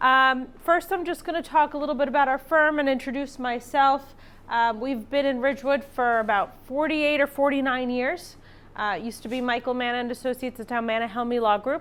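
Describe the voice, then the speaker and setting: A woman talks loudly at a fairly quick pace, her pitch high. Her pitch varies an ordinary amount. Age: 40s. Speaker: estate planning attorney. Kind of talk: lecture. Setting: classroom with live audience.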